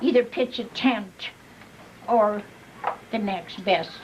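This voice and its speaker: A woman's very slow speech against noticeable background noise. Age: 80s+. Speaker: birthday honoree. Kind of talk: casual chat. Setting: family party.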